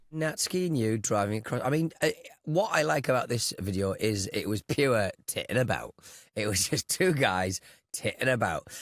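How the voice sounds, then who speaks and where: In a very clean recording with a silent background, the sound is dry and close, with no echo. A man with a British accent speaks at a medium pitch and moderate pace, using very wide pitch swings. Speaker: podcast co-host. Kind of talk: casual chat.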